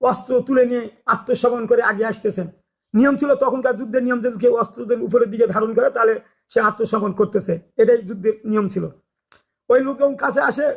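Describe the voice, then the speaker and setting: This man's voice sits extremely high, with fairly even intonation. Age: 60s. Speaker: religious YouTuber. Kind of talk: religious talk. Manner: halting.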